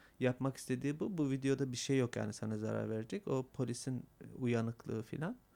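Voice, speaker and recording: Here a man talks at a medium pitch with ordinary pitch variation. His tone is dark and mellow. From Manisa, Turkey. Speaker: documentary maker and photographer. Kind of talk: casual interview. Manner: halting, hesitant.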